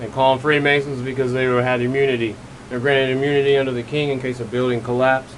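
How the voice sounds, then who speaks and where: Mumbling at a very fast pace in a monotone, flat intonation, a man speaks over noticeable background noise with audible room echo. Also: medium pitch for a man. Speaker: conspiracy video creator. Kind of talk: solo video monologue. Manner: rambling, mumbling.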